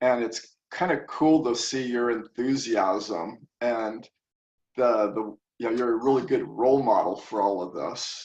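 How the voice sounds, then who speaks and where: A man talks at a medium pitch with ordinary pitch variation. His is a plain, everyday voice. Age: 60s. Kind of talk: interview answer.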